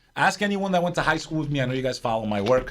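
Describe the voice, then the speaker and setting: A man's fairly high-pitched voice with very wide pitch swings and vocal fry. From New York area, US. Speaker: podcast host. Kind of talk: casual chat. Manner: animated.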